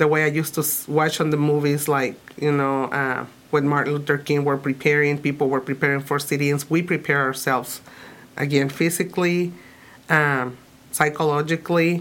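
The speaker has a Spanish accent and talks at a moderate pace in a flat monotone. The loudness stays very even throughout. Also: woman. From Mexico, Tijuana. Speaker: immigrant rights activist. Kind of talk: interview.

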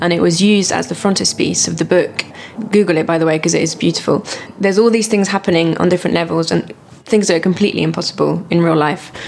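Over noticeable background noise, a woman talks very fast in a fairly low voice with fairly even intonation. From France and Britain. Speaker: composer and singer. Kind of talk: interview chat about music.

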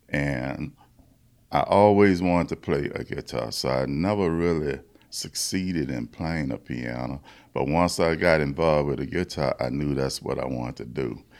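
A man's very deep, low voice in a Louisiana accent, at a moderate pace with ordinary pitch variation, in a very clean recording with a silent background. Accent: US South (Louisiana). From Louisiana, Baton Rouge. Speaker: blues musician. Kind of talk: interview.

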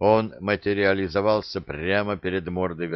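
Natural-sounding reading voice

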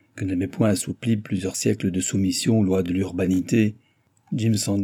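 The delivery, in an unforced reading voice, holds a fairly even intonation.

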